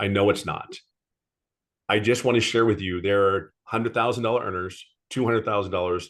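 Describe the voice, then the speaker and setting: This is an ordinary speaking voice from a man, moving at a fairly quick pace. The pitch is fairly low and varies in an ordinary way. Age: 50s. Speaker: online marketer. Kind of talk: testimony.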